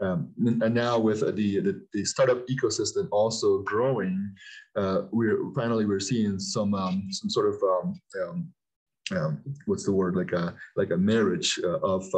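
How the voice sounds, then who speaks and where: Quiet background, with a man talking at a fairly slow pace. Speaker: guest. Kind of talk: interview answer. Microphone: video call.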